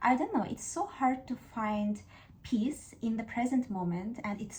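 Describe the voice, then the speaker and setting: Speaking at a moderate pace in an Azerbaijani accent, a woman has a dark, mellow tone and a fairly high pitch. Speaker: YouTuber. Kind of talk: casual talk to camera, book discussion. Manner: hesitant, with fillers.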